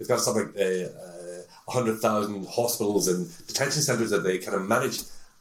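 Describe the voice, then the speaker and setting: A man talks at a fairly quick pace in a fairly low pitch. Noticeable background noise runs under his voice. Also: ordinary pitch variation. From Northern Ireland, Belfast. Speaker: tech sales executive. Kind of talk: interview. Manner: hesitant with frequent fillers.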